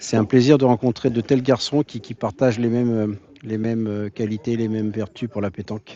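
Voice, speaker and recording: A man talks fairly quickly, his medium-pitched voice staying monotone and flat. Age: 60s. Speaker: pétanque club founder and event organiser. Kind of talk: interview testimony. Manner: talkative, hesitant with repetitions.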